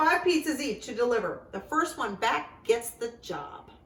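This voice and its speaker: A woman uses a high-pitched, put-on character voice with very wide pitch swings. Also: moderate pace. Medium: read story. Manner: barking.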